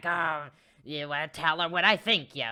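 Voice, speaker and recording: A man puts on a character voice with a fairly high pitch at a moderate pace. The recording is very clean, with a silent background. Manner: gollum-like, scheming.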